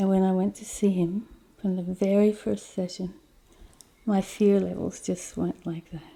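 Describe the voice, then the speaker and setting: In an Australian accent, a woman speaks at a fairly slow pace and medium pitch with a dark, mellow tone, her intonation flat and monotone while her loudness swings widely. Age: 60s. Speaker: terminally ill patient. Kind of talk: personal testimony interview.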